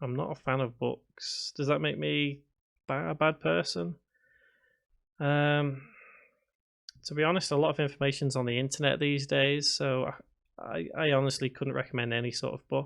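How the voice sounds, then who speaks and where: A man with a Liverpool accent speaks at a moderate pace and fairly high pitch, with ordinary pitch variation and long, frequent pauses. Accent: Scouse. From northern England, Liverpool (Prescot). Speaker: game development tutor. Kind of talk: live stream chat while coding. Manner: hesitant, many fillers; mumbles to himself.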